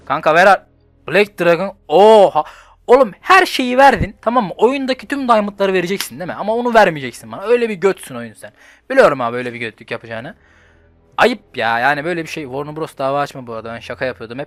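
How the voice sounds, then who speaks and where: Music plays in the background as a man speaks at a fairly quick pace. His pitch is high and swings very widely. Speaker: gaming youtuber. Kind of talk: gameplay commentary. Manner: animated; fast.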